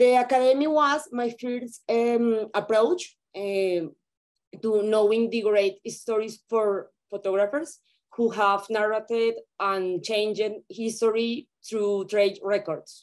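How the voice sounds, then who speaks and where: A woman speaks very slowly at a fairly high pitch, with ordinary pitch variation, against a quiet background. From Colombia. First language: Spanish. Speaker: photographer. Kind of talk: reading a prepared presentation. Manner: halting, hesitant. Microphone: video call.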